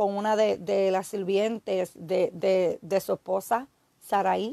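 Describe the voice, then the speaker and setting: Against a quiet background, a woman speaks at a very slow pace in a dry sound with no echo. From Puerto Rico, Aguada; Puerto Rico. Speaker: evangelist preacher. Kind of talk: sermon. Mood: earnest, admonishing. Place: home room. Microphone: phone near.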